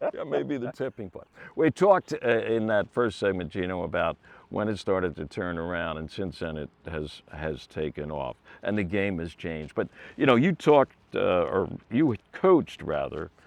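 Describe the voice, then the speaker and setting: A man with an American accent, fairly low in pitch, with very wide pitch swings at a moderate pace, over a quiet background. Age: old. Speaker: golf TV host, broadcaster. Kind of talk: interview.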